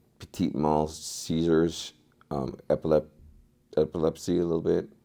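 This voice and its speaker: A man's very deep, low voice with a dark, mellow tone, vocal fry and a moderate pace. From Alaska, Anchorage. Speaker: former addict in recovery. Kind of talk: testimony. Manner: halting.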